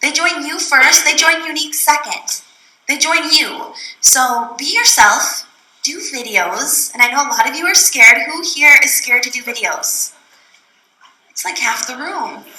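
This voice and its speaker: A woman speaks in a raised, projected voice with a high pitch. Her tone is bubbly and animated, and her intonation is lively. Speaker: direct sales trainer. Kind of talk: training talk to live audience. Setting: room with live audience. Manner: fast; bubbly, animated.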